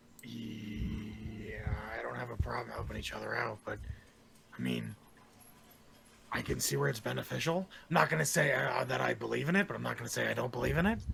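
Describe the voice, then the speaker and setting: A man speaks at a fairly quick pace in a put-on character voice, very deep and low, raspy, over clear background noise. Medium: actual play. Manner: gruff, blunt.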